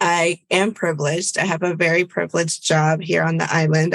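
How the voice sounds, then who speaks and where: Speaking at a fairly quick pace, a woman keeps a fairly low pitch and a monotone, flat intonation. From Virginia, US (born in Bolivia). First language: Spanish. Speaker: public health advisor. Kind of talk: podcast interview.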